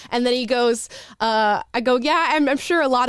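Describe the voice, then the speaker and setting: A woman with a Californian accent, lively intonation and an animated tone, on a very clean recording with a silent background. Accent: General American (California). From US. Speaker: YouTube show host. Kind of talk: casual chat.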